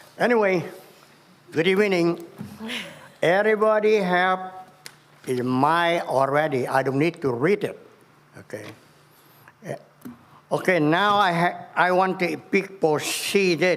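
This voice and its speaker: In a room with audible echo, a man with a high pitch and ordinary pitch variation talks at a fairly slow pace with long, frequent pauses. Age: 70s. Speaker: resident speaking at public comment. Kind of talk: public comment at city council meeting. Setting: city council chamber.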